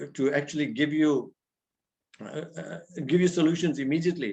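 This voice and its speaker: A man's fairly high-pitched voice with vocal fry and ordinary pitch variation. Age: 60s. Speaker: spiritual teacher. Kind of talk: religious talk. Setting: video call.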